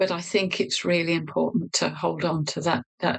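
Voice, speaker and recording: A woman speaks at a fairly low pitch. Vocal fry runs through her voice. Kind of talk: interview answer.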